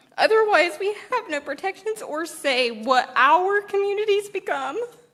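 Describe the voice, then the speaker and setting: A woman with an American accent speaks at a moderate pace in an extremely high pitch, her voice swinging very widely, with noticeable background noise behind her. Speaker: citizen testifying at hearing. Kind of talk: testimony.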